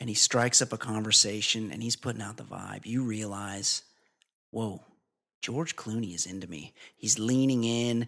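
In a very clean recording with a silent background, a man uses an ordinary speaking voice at medium pitch and a moderate pace, with big swings in loudness and fairly even intonation. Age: 40s. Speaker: podcast host. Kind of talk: casual chat.

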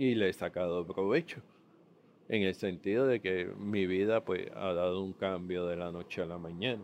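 This man's voice has a very deep, low pitch. His intonation stays fairly even. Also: moderate pace. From Puerto Rico. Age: 50s. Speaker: podcaster sharing diabetes journey. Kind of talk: personal testimony monologue. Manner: halting, many fillers and repetitions.

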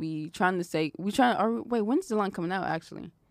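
A woman with a medium pitch is heard in a very clean recording over a silent background. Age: 20s. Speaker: podcast host. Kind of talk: casual chat.

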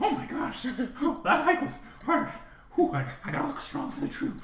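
A put-on character voice at a high pitch and moderate pace, with slight echo and light background noise. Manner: trying to look strong.

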